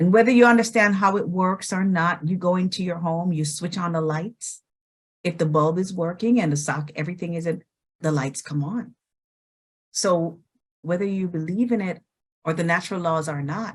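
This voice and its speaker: At a moderate pace, a woman speaks in a fairly low, somewhat breathy voice with ordinary pitch variation. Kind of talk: testimonial conversation.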